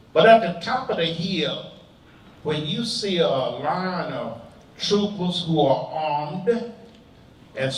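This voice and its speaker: A man's high-pitched voice at a very slow pace, with audible room echo and noticeable background noise. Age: 80s+. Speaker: civil rights veteran. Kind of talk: testimony.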